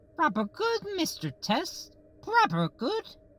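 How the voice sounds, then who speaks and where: The voice is a put-on character voice, pitched high. Its delivery is fairly slow. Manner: exaggerated, poorly done accent.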